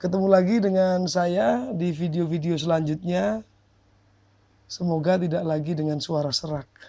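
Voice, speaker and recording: This man has a high pitch but a dark, mellow tone. He talks at a fairly slow pace with ordinary pitch variation. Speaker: video blogger. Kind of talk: vlog commentary. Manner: hesitant with fillers.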